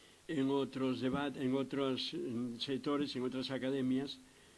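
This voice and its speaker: Audible room echo surrounds a man speaking very slowly at a medium pitch. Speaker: psychiatrist lecturer. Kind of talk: lecture. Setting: lecture hall with audience.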